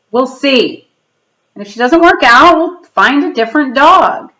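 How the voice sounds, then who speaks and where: Putting on a character voice, a woman growls at a high pitch with lively intonation at a moderate pace. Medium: read story.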